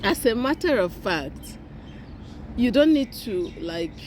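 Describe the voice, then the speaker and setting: Very wide pitch swings and vocal fry mark this woman's voice. She speaks at a very slow pace. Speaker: YouTuber, self-help speaker. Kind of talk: motivational talk to camera. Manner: halting, with repetitions and self-corrections.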